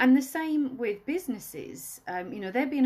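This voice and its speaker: A woman speaks with a Welsh accent. Her pitch takes very wide swings. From Wales. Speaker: wedding planner. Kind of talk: live stream tips talk. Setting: Instagram live video. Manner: casual, chatty.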